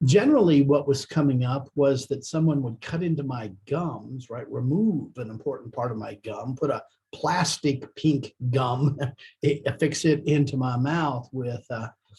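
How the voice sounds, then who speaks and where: Speaking at a fairly slow pace, a man with a fairly high pitch has a somewhat breathy, dark, mellow tone and ordinary pitch variation. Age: 60s. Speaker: business executive, dental patient. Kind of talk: testimonial. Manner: hesitant, many fillers.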